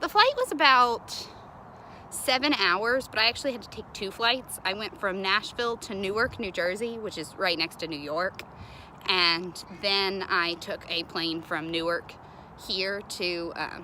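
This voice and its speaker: Speaking with a Southern US accent, a woman uses a bright, sharp tone at a medium pitch, a fairly slow pace, ordinary pitch variation and big swings in loudness. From Kentucky, US South. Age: 20s. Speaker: college student studying abroad. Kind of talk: casual video message answering questions. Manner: casual with many fillers.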